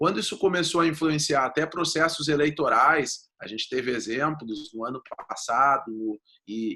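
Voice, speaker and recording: Speaking fairly slowly, a man uses a fairly high-pitched voice in a southern Brazilian accent. His tone is bright and sharp. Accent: gaúcho Brazilian Portuguese. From southern Brazil (Rio Grande do Sul). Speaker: data protection lawyer. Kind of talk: interview.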